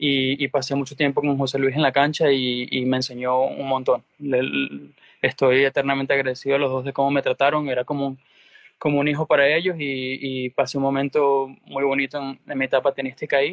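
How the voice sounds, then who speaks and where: A man with a fairly high pitch talks at a fairly quick pace in a monotone, flat intonation. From Venezuela. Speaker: tennis coach. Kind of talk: interview.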